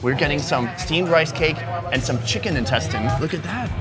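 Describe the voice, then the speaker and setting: A man speaks at a fairly quick pace. Clear music can be heard in the background. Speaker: food vlogger host. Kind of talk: casual food tasting commentary. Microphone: lapel.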